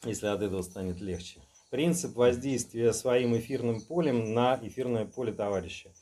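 A dark, mellow tone with ordinary pitch variation at a moderate pace. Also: man. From Saint Petersburg, Russia. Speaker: magic practitioner; guest. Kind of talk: casual chat. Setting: indoors at night at his home. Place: home room. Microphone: camera far.

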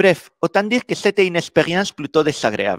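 Someone with a Spanish accent speaks at a fairly slow pace in a dry sound with no echo. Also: man, quiet background. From Spain. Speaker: software developer and conference speaker. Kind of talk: conference talk. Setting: stage with audience. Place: meeting room.

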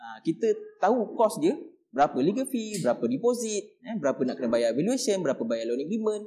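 A man talks at a fairly quick pace with a high pitch and very wide pitch swings. His tone is dark and mellow over a quiet background. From Malaysia. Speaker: real estate agent. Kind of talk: explainer talk. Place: studio.

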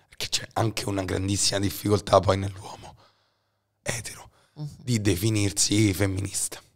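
The recording is very clean, with a silent background. A man with a somewhat breathy, fairly low voice speaks at a moderate pace with fairly even intonation. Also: long, frequent pauses, big swings in loudness. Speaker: podcast host. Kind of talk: casual chat.

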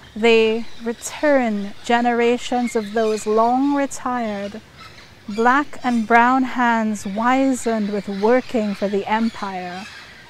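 A woman speaks very slowly at a fairly high pitch, her intonation fairly even, with noticeable background noise present. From Trinidad. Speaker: poet, writer. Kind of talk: poetry reading. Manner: rousing.

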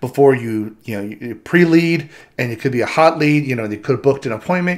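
Fairly quick speech from a man, quiet background behind. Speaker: presenter. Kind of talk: tutorial. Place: home room.

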